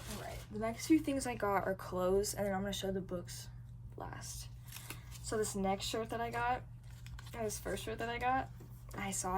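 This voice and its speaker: A woman talks at a fairly quick pace, with audible room echo around her words. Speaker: book vlogger. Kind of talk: casual vlog. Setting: public bus terminal. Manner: animated.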